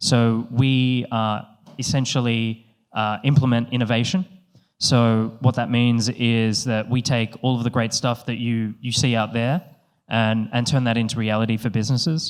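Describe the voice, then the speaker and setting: At a moderate pace and with fairly even intonation, the voice comes through on a very clean recording with a silent background. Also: man, medium pitch for a man. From Australia. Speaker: company co-founder, panel moderator. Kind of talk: conference panel introduction. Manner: hesitant, many fillers.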